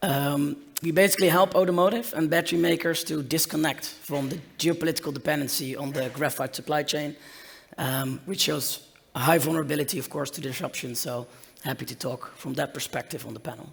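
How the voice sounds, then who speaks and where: A man talks in a somewhat breathy voice pitched fairly high. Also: ordinary pitch variation, fairly quick pace. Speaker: startup founder. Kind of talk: panel discussion.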